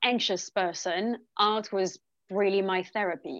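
A woman at a medium pitch and a very slow pace, against a quiet background. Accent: French. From France, Lyon. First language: French. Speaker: painter. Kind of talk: interview.

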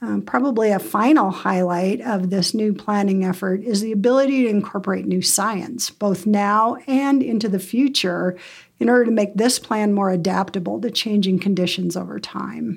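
A woman with an American accent speaks at medium pitch. Her pace is moderate and her pitch varies in an ordinary way. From Montana, US (Bozeman). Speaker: wildlife biologist. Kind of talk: interview.

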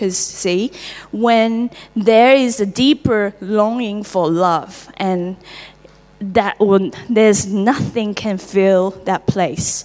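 Speaking at a very slow pace with a Taiwanese accent, a woman is heard over noticeable background noise. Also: medium pitch for a woman, ordinary pitch variation. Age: 30s. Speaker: church member sharing testimony. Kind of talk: testimony. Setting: church.

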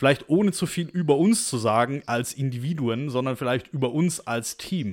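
A man's medium-pitched voice at a moderate pace, lively intonation, very clean recording with a silent background. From Stuttgart, Swabia, Germany. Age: 20s. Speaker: podcast co-host. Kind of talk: casual chat.

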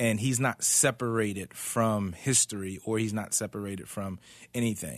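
A man speaks in a normal speaking voice, fairly low and fairly even in intonation. The background is quiet. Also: moderate pace. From Philadelphia, US. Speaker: pastoral resident. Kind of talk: casual chat. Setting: studio.

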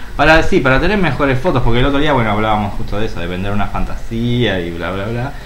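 A man's medium-pitched voice at a very fast pace, with lively intonation and hardly any pauses, over noticeable background noise. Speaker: podcast co-host. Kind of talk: casual chat.

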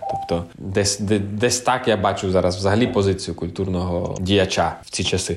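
Music plays in the background. The speaker keeps a moderate pace with fairly even intonation. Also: man, fairly low pitch for a man, hardly any pauses. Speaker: orchestra conductor. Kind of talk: interview.

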